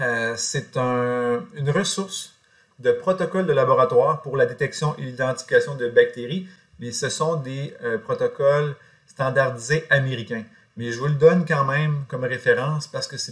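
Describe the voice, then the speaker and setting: Breathing somewhat audibly, a man talks fairly slowly at a fairly high pitch with ordinary pitch variation. His loudness swings widely. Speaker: college teacher. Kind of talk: lecture. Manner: hesitant, many fillers.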